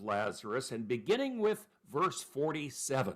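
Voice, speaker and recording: A loud man with a fairly high pitch, at a moderate pace. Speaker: pastor teaching a Bible class. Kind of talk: Bible study lecture.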